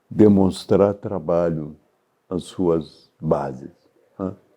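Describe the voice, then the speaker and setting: A man with a dark, mellow tone takes his words at a very slow pace. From Brazil, Minas Gerais (Juiz de Fora). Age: 80s+. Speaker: journalist and former politician. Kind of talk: interview answer.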